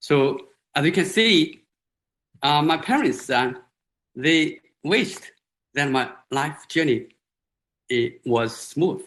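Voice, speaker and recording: A man with a Chinese accent and lively intonation. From China, Hunan countryside. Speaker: professor. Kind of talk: lecture. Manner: halting, many fillers.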